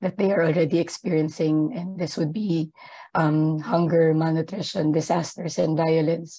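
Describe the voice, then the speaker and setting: Over a quiet background, a woman with a dark, mellow tone and fairly low pitch talks at a moderate pace with fairly even intonation. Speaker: gender equality advisor at an aid organisation; panelist. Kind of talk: webinar presentation. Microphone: video call.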